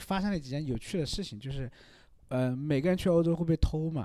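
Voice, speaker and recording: Fairly quick delivery in a dark, mellow tone with lively intonation. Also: man. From Hunan, China. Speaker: painter / contemporary artist. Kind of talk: casual interview.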